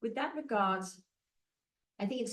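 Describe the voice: A woman talks, and audible room echo follows her words.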